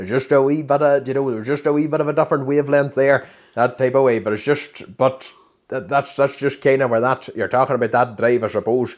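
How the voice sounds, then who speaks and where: At a very fast pace, a man speaks in a strong Derry accent with medium pitch and fairly even intonation. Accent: thick Derry. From Northern Ireland (Derry). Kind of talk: podcast interview answer.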